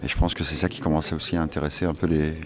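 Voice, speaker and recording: A man's fairly quick speech comes with noticeable background noise. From Turkish family background. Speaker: novelist. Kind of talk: interview. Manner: hesitant.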